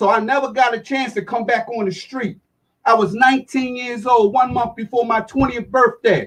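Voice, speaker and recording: A man's voice at an extremely high pitch. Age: 60s. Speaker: community activist, former prisoner. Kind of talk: group discussion.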